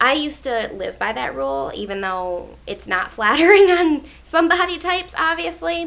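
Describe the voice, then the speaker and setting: A woman's voice moves through very wide pitch swings over noticeable background noise. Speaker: beauty vlogger. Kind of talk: casual vlog tag video. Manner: chatty with many fillers.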